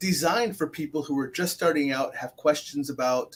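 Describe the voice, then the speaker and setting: A man's unremarkable speaking voice, fairly high in pitch, at a moderate pace. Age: 50s. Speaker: talk show host. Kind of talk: casual interview chat.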